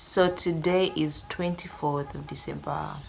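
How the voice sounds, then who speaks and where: A woman's voice with ordinary pitch variation, audible room echo and music in the background. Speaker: vlogger. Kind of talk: casual vlog talk to camera. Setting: at home.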